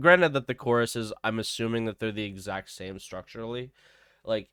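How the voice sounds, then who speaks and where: A man speaks at a fairly quick pace in a medium pitch, his bright, sharp tone showing ordinary pitch variation on a very clean recording with a silent background and a dry, close sound with no echo. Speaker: video game content creator. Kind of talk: tutorial. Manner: casual, hesitant with fillers.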